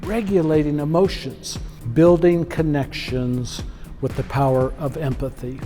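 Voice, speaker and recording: Music plays in the background as a man talks. His pitch is fairly high and his pace moderate. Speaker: keynote speaker on leadership and emotional intelligence. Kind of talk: keynote speech to an audience. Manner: high-energy, motivational.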